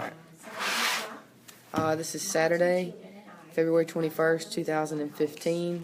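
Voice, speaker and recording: Against noticeable background noise, a woman with a fairly low voice speaks very slowly in a flat monotone. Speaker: oral history interviewer, university student. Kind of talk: oral history interviewer questions.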